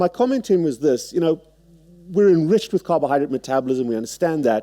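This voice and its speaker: A man speaks in a South African accent, with a dark, mellow tone and lively intonation. The sound is dry and close with no echo, over a quiet background. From South Africa, Cape Town. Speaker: surgeon. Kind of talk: lecture. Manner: halting.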